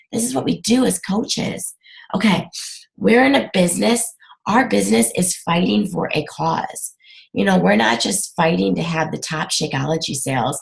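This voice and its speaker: A woman's fairly low voice with vocal fry, very wide pitch swings, and a moderate pace. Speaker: fitness coach team leader. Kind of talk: webinar talk to team. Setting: video call.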